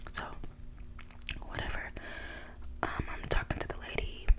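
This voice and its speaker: Someone whispers at a fairly quick pace in an American accent. Noticeable background noise runs underneath. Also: woman. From Dallas, Texas. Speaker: ASMR creator. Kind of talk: casual storytime to camera. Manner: whispered.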